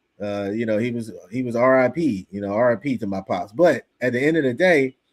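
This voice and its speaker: The man speaks at a medium pitch and a moderate pace, with ordinary pitch variation. The recording is very clean, with a silent background. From US Northeast, Philadelphia. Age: 50s. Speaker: religious teacher. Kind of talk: religious class. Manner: animated.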